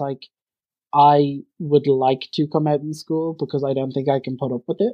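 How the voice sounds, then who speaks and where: A man's fairly high-pitched voice with an Irish accent, monotone, flat intonation and a fairly quick pace. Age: 20s. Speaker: university student. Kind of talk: casual chat.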